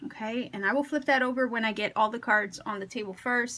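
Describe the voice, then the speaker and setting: The tone is bright and sharp, and the intonation fairly even. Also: woman. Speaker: tarot reader. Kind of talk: tarot reading to camera. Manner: careful, slightly impeded speech; conversational, with fillers.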